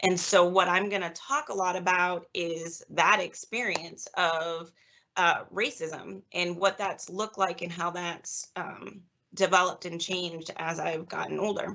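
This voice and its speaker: A woman's normal speaking voice, fairly low in pitch, with an American accent, fairly even intonation and a fairly slow pace. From US Northeast, Massachusetts (Easton). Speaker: psychologist, guest speaker. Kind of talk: lecture. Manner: casual, many fillers.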